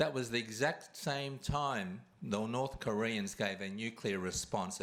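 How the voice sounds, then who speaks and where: A man with an Australian accent talks at a fairly slow pace. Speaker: award recipient and kindness campaigner. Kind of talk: award acceptance speech.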